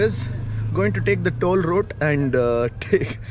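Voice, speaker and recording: With noticeable background noise behind him, a male speaker delivers his words at a fairly slow pace. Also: dry sound with no echo. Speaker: travel vlogger. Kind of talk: casual vlog chat. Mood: amused, laughing about a fall. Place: open country. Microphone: phone near.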